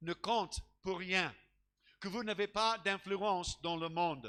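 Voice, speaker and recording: A man with an English accent projects a raised, high-pitched voice with a bright, sharp tone, ordinary pitch variation and a very slow pace. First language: English (speaking French). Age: old. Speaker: pastor. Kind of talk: sermon. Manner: halting, with many repeated words.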